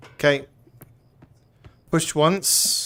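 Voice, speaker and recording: A man with a British accent at a very slow pace. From Britain. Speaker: VR gaming streamer. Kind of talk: live gameplay commentary. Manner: animated.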